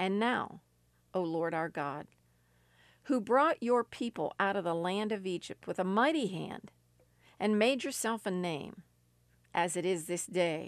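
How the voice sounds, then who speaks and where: Against a quiet background, a woman with an American accent speaks at a medium pitch and a fairly slow pace, her tone intense and her intonation lively, with long, frequent pauses. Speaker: radio preacher. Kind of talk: fervent prayer; sermon/teaching. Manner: intense, impassioned; solemn, earnest pleading.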